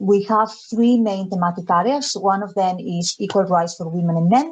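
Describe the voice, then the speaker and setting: A woman speaks at a medium pitch with a Spanish accent. Her pitch varies in an ordinary way. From Spain, Galicia. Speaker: development education officer. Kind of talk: webinar presentation. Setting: video call.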